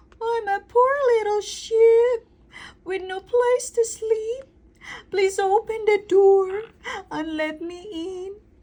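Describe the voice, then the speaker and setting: Using a put-on character voice at an extremely high pitch, a woman speaks very slowly with long, frequent pauses. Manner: sweet, coaxing.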